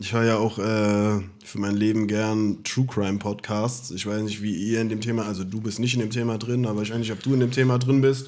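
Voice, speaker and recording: Amid audible room echo, a man speaks at a fairly low pitch in a monotone, flat intonation. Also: fairly quick pace. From Germany, Offenbach (Hesse). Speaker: podcast co-host. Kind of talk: casual chat. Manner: laughing, giggly.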